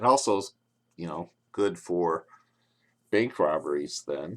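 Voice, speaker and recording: The voice has vocal fry and moves at a fairly slow pace. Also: man. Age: old. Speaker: plastic surgeon. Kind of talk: tutorial. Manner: loud.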